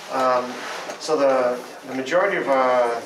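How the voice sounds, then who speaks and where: A man speaks at a medium pitch with noticeable background noise behind him. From Ontario. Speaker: parent. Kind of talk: group discussion summary. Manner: halting. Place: meeting room. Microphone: handheld.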